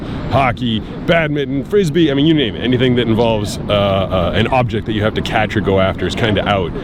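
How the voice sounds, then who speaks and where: Fairly quick delivery with hardly any pauses, ordinary pitch variation and noticeable background noise. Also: man. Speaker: voice actor, blind surfer. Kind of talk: casual talk to camera, vlog narration.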